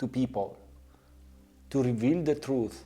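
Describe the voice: A man talks with a dark, mellow tone.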